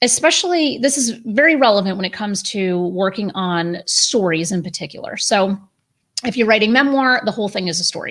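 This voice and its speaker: The intonation is lively. The pace is fairly quick. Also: woman, fairly high pitch for a woman. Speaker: publisher and writing coach. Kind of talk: tutorial. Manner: fast.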